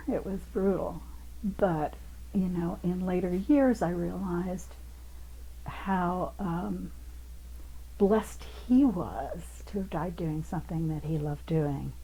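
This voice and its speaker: Speech in an American accent comes at a very slow pace, broken by long, frequent pauses. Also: woman. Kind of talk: interview answer.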